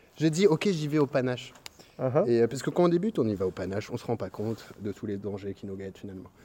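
Rushing at a very fast pace, a man's voice makes very wide pitch swings. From Belgium. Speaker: stand-up comedian. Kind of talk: casual chat.

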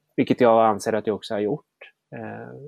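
In a dry, close sound with no echo, a man talks fairly quickly at a medium pitch. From small town in Sweden. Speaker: political commentator. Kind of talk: interview conversation.

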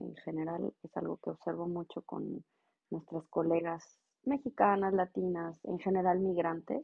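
At a fairly slow pace, a woman speaks in an unremarkable speaking voice with a fairly low pitch. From Mexico, Monterrey. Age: 40s. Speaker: regulatory affairs professional. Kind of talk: interview.

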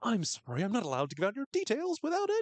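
A man speaks in a put-on character voice, extremely high-pitched, with very wide pitch swings and a very fast pace. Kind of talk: polite customer-service speech. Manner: creepily cheerful, smiley, obstructive.

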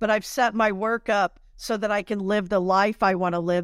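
In a quiet background, a woman with an unremarkable speaking voice talks at medium pitch and a moderate pace, her intonation fairly even. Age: 50s. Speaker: spiritual and business coach. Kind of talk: interview.

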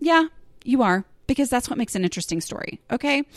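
A woman with an American accent and fairly high pitch speaks with lively intonation on a very clean recording with a silent background. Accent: Southern US, gets stronger on some topics. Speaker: podcast host and blogger. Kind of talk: casual solo monologue. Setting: home recording. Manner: conversational with fillers and laughs.

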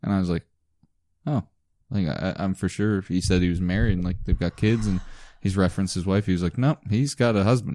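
A very fast, dark and mellow voice with a Canadian Maritime accent, ordinary pitch variation, and a dry, close sound with no echo over a quiet background. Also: man, very deep, low pitch for a man. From Prince Edward Island, Canada. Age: 20s. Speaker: podcast co-host. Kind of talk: casual chat.

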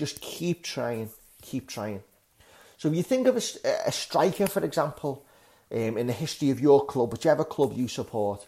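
In a very clean recording with a silent background, a fairly high-pitched man with a dark, mellow tone speaks at a moderate pace. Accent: Liverpool. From northern England, Liverpool. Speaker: English teacher and podcast host. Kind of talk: language lesson podcast.

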